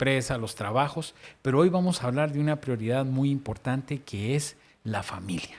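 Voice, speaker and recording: In a very clean recording with a silent background, a man with an unremarkable speaking voice talks at a moderate pace and medium pitch. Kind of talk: casual faith discussion.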